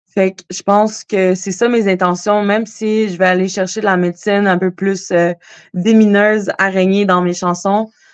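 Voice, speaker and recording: A woman's flat, monotone voice at a fairly slow pace, recorded dry and close with no echo. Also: medium pitch for a woman. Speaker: singer-songwriter. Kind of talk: casual interview.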